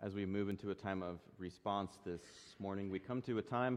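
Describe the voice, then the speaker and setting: An ordinary speaking voice. The pace is moderate. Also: man. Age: 20s. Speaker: pastor. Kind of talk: sermon.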